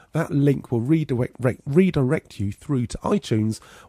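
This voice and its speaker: A man with an English accent and a dark, mellow tone at a fairly quick pace with very wide pitch swings, in a very clean recording with a silent background and dry, close sound with no echo. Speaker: podcast host. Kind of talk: podcast intro.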